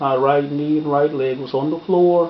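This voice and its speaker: A man speaks over noticeable background noise. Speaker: preacher. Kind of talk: personal testimony, sermon-style storytelling.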